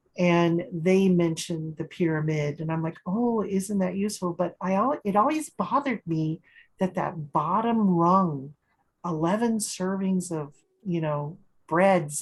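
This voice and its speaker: Speaking at a fairly slow pace, a woman uses a fairly low pitch and a somewhat breathy voice. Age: 60s. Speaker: support group host. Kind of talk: casual chat.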